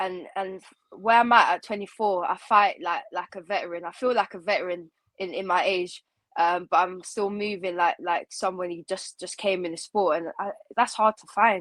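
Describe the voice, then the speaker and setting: In a normal speaking voice, a woman with a medium pitch talks at a moderate pace with fairly even intonation and big swings in loudness, the sound dry and close with no echo. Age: 20s. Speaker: MMA fighter. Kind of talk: interview.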